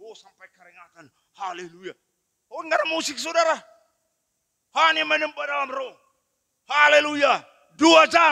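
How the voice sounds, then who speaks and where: A man speaks in a raised, projected voice at an extremely high pitch, his bright, sharp tone moving at a moderate pace with ordinary pitch variation, big swings in loudness, and long, frequent pauses against a quiet background. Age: 60s. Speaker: pastor. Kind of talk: sermon. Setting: church. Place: church. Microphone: handheld.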